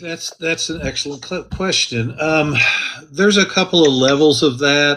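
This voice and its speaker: A man speaks at a moderate pace with fairly high pitch and ordinary pitch variation. Noticeable background noise runs behind him. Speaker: county commissioner candidate and activist. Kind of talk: interview. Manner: loud.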